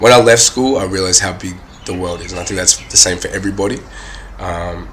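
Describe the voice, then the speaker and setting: Very fast talk in an Australian accent, fairly even in intonation but with big swings in loudness, over noticeable background noise. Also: man, very deep, low pitch for a man. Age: 20s. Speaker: rapper. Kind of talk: interview talk. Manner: halting, many fillers.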